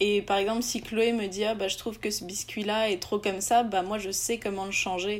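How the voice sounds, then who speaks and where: Her voice is an unremarkable speaking voice, and she is a woman pitched at a medium level. Fairly even intonation carries her moderate pace. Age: 20s. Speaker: entrepreneur. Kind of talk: interview.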